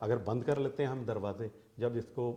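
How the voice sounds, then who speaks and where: A man with a dark, mellow tone sounds somewhat breathy, moving at a moderate pace with ordinary pitch variation. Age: 60s. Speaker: interviewee in family dispute. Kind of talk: interview. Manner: agitated.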